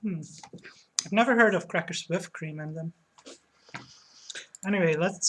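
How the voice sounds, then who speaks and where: A woman with a Dutch accent, a fairly low pitch and ordinary pitch variation. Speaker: streamer. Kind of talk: casual chat. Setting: live stream at home.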